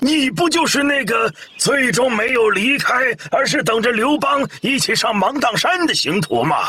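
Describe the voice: A man does a put-on character voice at an extremely high pitch, bright and sharp in tone. His intonation is lively and his pace moderate.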